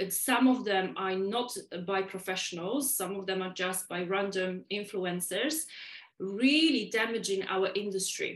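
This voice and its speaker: Speaking fairly slowly, a woman with a Polish accent uses a medium pitch. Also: ordinary pitch variation. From Poland. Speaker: podcast guest, waxing educator.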